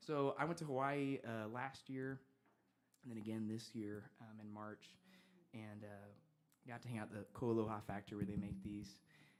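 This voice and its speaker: This man talks at a moderate pace and medium pitch, keeping his intonation fairly even and leaving long, frequent pauses. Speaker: singer-songwriter. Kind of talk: on-stage banter between songs.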